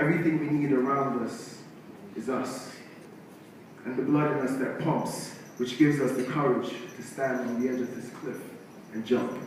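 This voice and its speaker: Through noticeable background noise, a man speaks in a flat monotone with long, frequent pauses. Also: medium pitch for a man, moderate pace. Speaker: musician and spoken word poet. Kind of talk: spoken word poetry performance.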